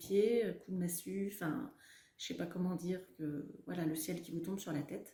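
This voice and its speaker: A woman with a fairly low pitch and a dark, mellow tone sounds somewhat breathy, with audible room echo around her. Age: 40s. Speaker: cancer survivor. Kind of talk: testimony. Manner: halting, many fillers.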